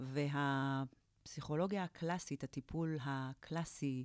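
A woman's very deep, low voice with fairly even intonation, in a very clean recording with a silent background and a dry, close sound with no echo. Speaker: positive psychology therapist and lecturer. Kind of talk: interview.

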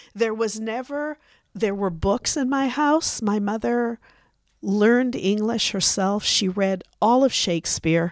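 With an unremarkable speaking voice, a woman speaks fairly slowly at a fairly high pitch. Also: ordinary pitch variation. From Canada. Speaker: podcast guest, grandmother. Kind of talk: casual interview. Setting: studio.

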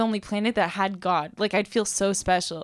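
A woman with an American accent speaks in an ordinary speaking voice at a fairly high pitch. Her pace is moderate and her intonation fairly even. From US West Coast, Los Angeles. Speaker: university student. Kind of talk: casual interview conversation.

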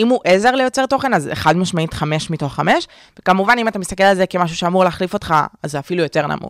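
A woman at medium pitch, very fast pace and lively intonation, in a dry, close sound with no echo. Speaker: podcast co-host, marketing worker and student. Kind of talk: casual chat.

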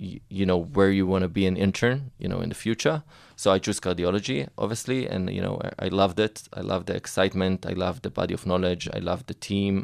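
With an Israeli accent, a man speaks at a moderate pace in a very deep, low pitch and fairly even intonation, on a very clean recording with a silent background. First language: Hebrew. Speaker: medical investor and entrepreneur. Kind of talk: interview. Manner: halting, many fillers and repetitions.

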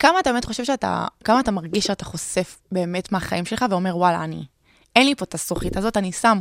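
Her pitch medium, a woman talks at a very fast pace. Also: dry, close sound with no echo. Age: 20s. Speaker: podcast host and travel blogger. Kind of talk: casual interview.

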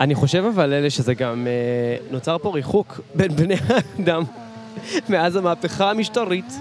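The speech moves fairly slowly with long, frequent pauses. Noticeable background noise runs underneath. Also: man, high pitch for a man, lively intonation. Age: 20s. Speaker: podcast co-host doing street interviews. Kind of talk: casual street interview chat. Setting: outdoors on a city street.

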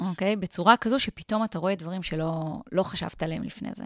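Recorded very clean, dry and close with no echo against a silent background, a woman speaks at a fairly quick pace in an ordinary speaking voice, at medium pitch with ordinary pitch variation. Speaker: entrepreneur and author. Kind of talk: interview. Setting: studio.

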